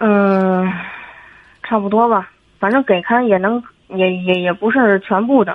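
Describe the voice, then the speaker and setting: Her pace fairly slow and broken by long, frequent pauses, a woman speaks at a medium pitch with fairly even intonation. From Tianjin, China. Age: 30s. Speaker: caller. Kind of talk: call-in advice conversation. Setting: phone call. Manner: halting.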